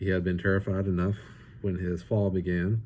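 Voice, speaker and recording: The voice is somewhat breathy, with a dark, mellow tone, at a moderate pace. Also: man. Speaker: author reading his own book. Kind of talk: fireside book reading of fantasy fiction. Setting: home or rustic natural environment, non-professional recording. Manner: narrative storytelling read, expressive.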